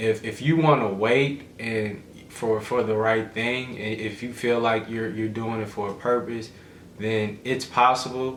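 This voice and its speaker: There is noticeable background noise and audible room echo. A man speaks fairly slowly at medium pitch, keeping his intonation fairly even. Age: 20s. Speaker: vlogger's boyfriend. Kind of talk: casual chat.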